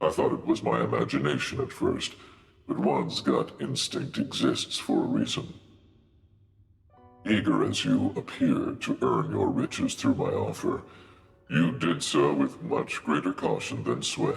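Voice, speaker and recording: In a put-on character voice with slight echo, a man speaks at a moderate pace with long, frequent pauses. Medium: audio drama. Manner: formal, smooth, courteous.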